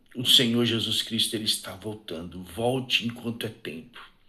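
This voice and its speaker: Soft-spoken yet bright and sharp in tone, a man speaks at a fairly slow pace. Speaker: evangelical preacher. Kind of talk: sermon. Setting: live stream. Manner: fervent.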